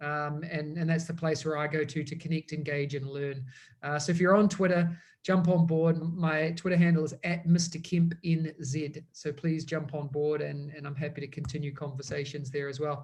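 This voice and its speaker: With a strong New Zealand accent, a man speaks at a moderate pace in a fairly high pitch, his intonation monotone and flat. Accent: thick New Zealand. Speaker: education technology consultant. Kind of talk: webinar presentation.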